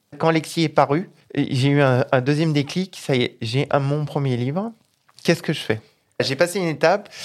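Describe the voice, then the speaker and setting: A very clean recording with a silent background, moderate pace and ordinary pitch variation. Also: man, fairly high pitch for a man. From Isère, French Alps. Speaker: children's author and agricultural technician. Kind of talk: interview. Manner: halting.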